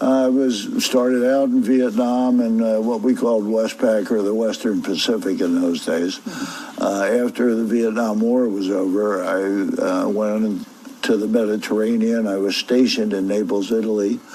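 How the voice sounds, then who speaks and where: There is noticeable background noise behind a man with an American accent. He speaks at a moderate pace and medium pitch with fairly even intonation. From Philadelphia. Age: 70s. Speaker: retired naval officer and football fan. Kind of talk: interview.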